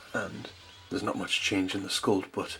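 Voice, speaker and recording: Music plays in the background. A man talks with a Geordie accent. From North East England. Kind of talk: toy review to camera.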